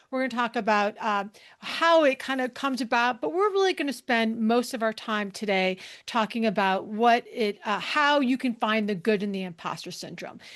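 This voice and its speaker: Over a quiet background, a woman with a fairly high pitch speaks at a moderate pace, her intonation lively and her tone animated. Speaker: leadership consultant and speaker. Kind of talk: webinar presentation.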